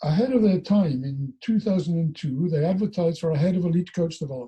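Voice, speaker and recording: Speaking in a Welsh accent, a man uses a high pitch, lively intonation and a fairly quick pace. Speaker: former national rugby coach and coach developer. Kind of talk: casual interview chat. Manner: halting.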